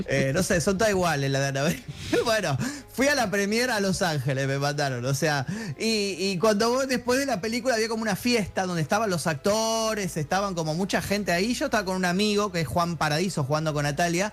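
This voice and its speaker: A man's high, lively voice at a very fast pace, very even in loudness, over noticeable background noise. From Argentina. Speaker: film journalist. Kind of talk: casual chat.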